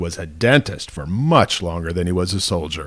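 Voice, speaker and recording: Speaking at a fairly quick pace, a man uses an ordinary speaking voice with ordinary pitch variation. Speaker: TV news reporter. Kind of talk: TV news feature narration.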